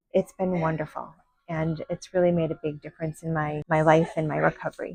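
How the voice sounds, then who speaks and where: Somewhat breathy and flat in a monotone, a woman's very deep, low voice moves at a fairly quick pace in a dry, close sound with no echo. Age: 60s. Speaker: physical therapy patient. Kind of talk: interview testimony.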